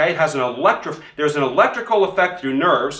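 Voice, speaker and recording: A man talks in an animated tone with lively intonation. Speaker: chiropractor teaching other chiropractors. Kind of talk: instructional demonstration. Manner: fast.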